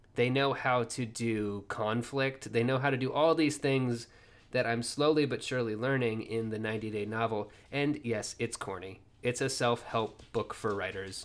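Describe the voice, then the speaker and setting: Here a man uses a normal speaking voice at a medium pitch. His pace is moderate and his intonation fairly even. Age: 30s. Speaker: podcast host and indie fiction writer. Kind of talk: casual solo ramble monologue.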